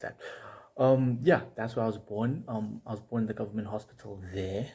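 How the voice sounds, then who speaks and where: On a very clean recording with a silent background, a man of medium pitch talks at a moderate pace in a dark, mellow, somewhat breathy voice with ordinary pitch variation. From Eswatini (Swaziland). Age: 20s. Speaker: medical student vlogger. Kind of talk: casual personal vlog. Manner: hesitant, many fillers.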